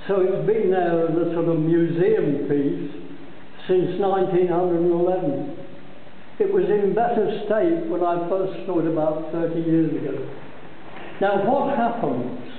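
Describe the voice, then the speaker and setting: A man's high-pitched voice with ordinary pitch variation at a fairly slow pace, audible room echo and light background noise. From Scotland. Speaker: brewery tour guide. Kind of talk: guided tour explanation. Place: factory. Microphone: phone near.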